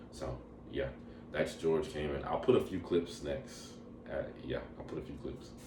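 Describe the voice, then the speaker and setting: A man talks with a very deep, low pitch and long, frequent pauses. The room echo is audible. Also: ordinary pitch variation, moderate pace. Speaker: travel vlogger. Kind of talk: casual travel review monologue. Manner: casual, filler-heavy.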